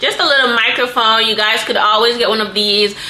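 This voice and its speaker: A woman speaks with audible room echo around her. Noticeable background noise runs underneath. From Jamaica. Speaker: content creator and small business owner. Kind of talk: tutorial. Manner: loud, projecting; casual, chatty. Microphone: built-in camera microphone.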